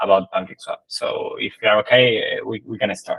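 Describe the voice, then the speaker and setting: A man talks at a moderate pace with an Argentine accent. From Argentina. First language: Spanish. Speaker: crypto project marketing team member. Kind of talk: conference presentation. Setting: online livestream talk. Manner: halting, many fillers.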